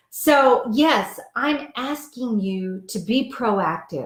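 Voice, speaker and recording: A woman speaks in a somewhat breathy voice. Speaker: diet coach and author. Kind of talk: live video chat with viewers.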